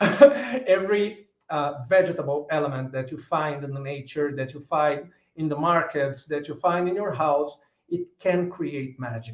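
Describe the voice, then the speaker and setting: A fairly high-pitched man's voice in a Brazilian Portuguese accent, at a fairly slow pace with ordinary pitch variation. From Brazil, São Paulo. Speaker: author. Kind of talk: lecture. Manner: halting.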